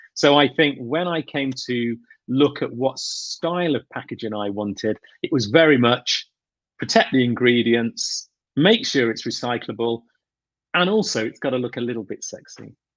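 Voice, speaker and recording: Against a quiet background, a man with a British accent speaks at medium pitch with ordinary pitch variation. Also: moderate pace. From England. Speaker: grooming brand owner. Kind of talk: interview.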